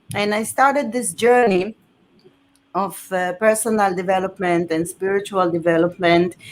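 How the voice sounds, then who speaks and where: Speaking with an Israeli accent, a woman uses a medium pitch, a moderate pace and ordinary pitch variation. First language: Hebrew. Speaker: author and former journalist. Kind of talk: interview on live stream. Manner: halting.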